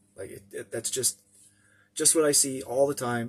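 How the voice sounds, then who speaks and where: Somewhat breathy, a man with a Canadian prairie accent speaks at a fairly quick pace. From Canadian prairies, small town. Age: 50s. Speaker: vlogger. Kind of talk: casual vlog monologue. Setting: in a motorhome. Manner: halting, many fillers and restarts.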